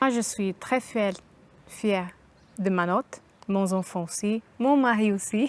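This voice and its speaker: Very slow and marked by long, frequent pauses, a woman's medium-pitched voice holds a very even loudness with ordinary pitch variation. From Brazil. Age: 30s. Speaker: concierge, adult apprentice graduate. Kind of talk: interview testimony.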